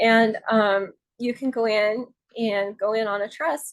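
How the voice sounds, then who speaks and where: With a plain, everyday voice, a woman speaks at a fairly high pitch and fairly even intonation. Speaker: real estate advisor. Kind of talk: tutorial. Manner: casual with fillers.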